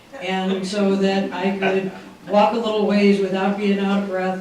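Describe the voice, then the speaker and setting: With audible room echo and noticeable background noise, a man speaks fairly slowly in a high, flat, monotone voice. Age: 60s. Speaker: weight-loss program participant. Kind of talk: testimony. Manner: halting.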